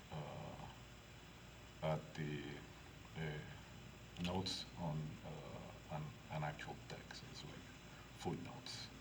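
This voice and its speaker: A man with a strong non-native accent and a very deep, low pitch speaks amid audible room echo and noticeable background noise. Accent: thick non-native. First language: Spanish. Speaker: historical martial arts instructor. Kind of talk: lecture. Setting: library meeting room. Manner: halting, many filler sounds.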